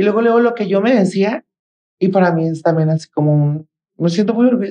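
Speaking at a very fast pace, a woman has a dark, mellow tone at medium pitch, ordinary pitch variation, and a dry, close sound with no echo. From Mexico, Guadalajara, Jalisco. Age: 30s. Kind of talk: interview.

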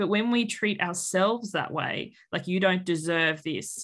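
With an Australian accent, a woman speaks at a fairly slow pace, using a medium pitch and ordinary pitch variation. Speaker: weight-loss coach. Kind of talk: casual interview.

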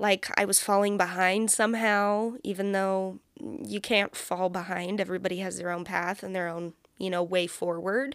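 A woman with a Californian accent talks at a moderate pace, her pitch varying in an ordinary way. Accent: Californian American. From California, Bay Area. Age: 20s. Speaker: podcast host. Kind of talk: casual solo monologue. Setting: home recording. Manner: chatty, rambling with fillers.

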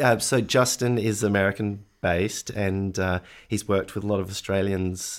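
An unremarkable speaking voice from a man, fairly low in pitch and fairly even in intonation, at a moderate pace with hardly any pauses, on a very clean recording with a silent background. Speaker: film director. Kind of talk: casual interview.

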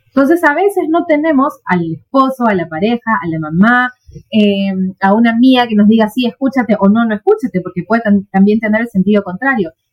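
A woman with a fairly high, somewhat breathy voice talks at a fairly quick pace with lively intonation. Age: 40s. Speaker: therapist. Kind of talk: casual chat.

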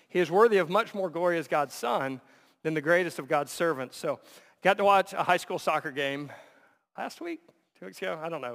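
The pitch moves with ordinary variation. The recording is very clean with a silent background. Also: man. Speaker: pastor. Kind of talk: sermon. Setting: church. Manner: loud; animated.

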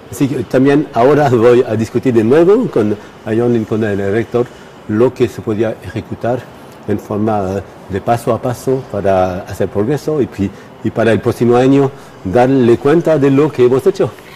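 This man speaks at a fairly slow pace, and noticeable background noise is audible. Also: medium pitch for a man, ordinary pitch variation. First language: not Spanish (speaking Spanish). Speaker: astrophysicist. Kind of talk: interview. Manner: halting, many fillers.

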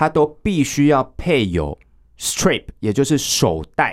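The pace of this man's speech is very slow. His voice moves through very wide pitch swings. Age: 30s. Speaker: Nordic walking instructor and association chairman. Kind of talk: interview.

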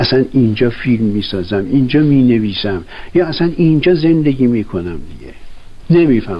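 A man speaks at a fairly quick pace with very wide pitch swings, and audible room echo surrounds his voice. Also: medium pitch for a man. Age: 70s. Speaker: film director. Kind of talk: interview testimony. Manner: halting.

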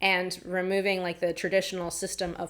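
This woman has a fairly low pitch. She speaks in an American accent. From New York, Long Island. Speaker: tech product manager and engineer. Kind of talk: interview.

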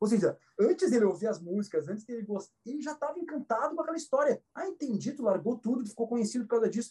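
Very fast, high-pitched male voice with lively intonation. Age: 40s. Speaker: astrologer and musician. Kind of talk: casual chat. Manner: halting.

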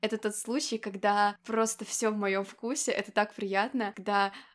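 With a fairly high pitch, the woman speaks in a monotone, flat intonation. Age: 20s. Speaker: podcast host. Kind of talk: casual chat. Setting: call.

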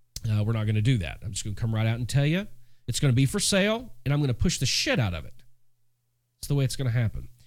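A man at medium pitch, very fast pace, lively intonation and a somewhat breathy sound. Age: 40s. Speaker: podcast host and music business mentor. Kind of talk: solo podcast monologue. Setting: home studio. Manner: casual, conversational.

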